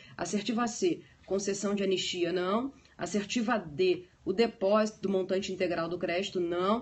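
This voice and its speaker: A woman's somewhat breathy voice, medium in pitch, rises and falls with ordinary variation. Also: moderate pace. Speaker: law teacher. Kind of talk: lecture.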